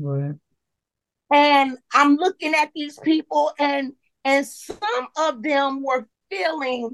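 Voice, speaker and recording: A woman is talking. Her pitch is high. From Chicago area, Illinois. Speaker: public housing resident. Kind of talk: casual interview.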